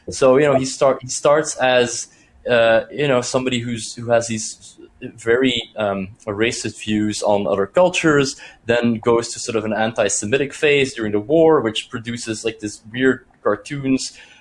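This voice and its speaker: Noticeable background noise behind a man at medium pitch, with ordinary pitch variation and a moderate pace. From Belgium. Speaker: academic seminar organiser. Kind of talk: academic Q&A discussion. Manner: halting, many repetitions.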